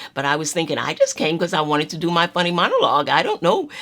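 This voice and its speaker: A woman with an American accent speaks in an animated, bright and sharp tone. Her pitch is fairly low. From US South, North Carolina. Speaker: retired actress and storyteller. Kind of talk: personal storytelling monologue.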